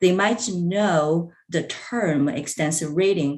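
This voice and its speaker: Speaking very slowly with a Chinese accent, a woman uses a fairly low pitch and ordinary pitch variation. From China. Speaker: language professor. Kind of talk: conference presentation. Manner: halting, many fillers.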